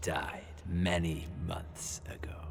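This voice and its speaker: A man's put-on character voice, very deep and low, over loud background noise. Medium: video game. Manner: smug, sardonic.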